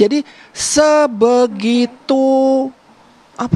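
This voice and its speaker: A woman is speaking. Her intonation is lively. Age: 60s. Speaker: family member of the deceased. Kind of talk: TV interview. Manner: halting.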